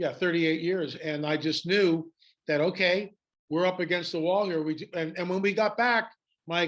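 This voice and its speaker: A man speaks in a high voice with fairly even intonation against a quiet background. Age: 70s. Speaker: author and documentary filmmaker. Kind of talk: interview.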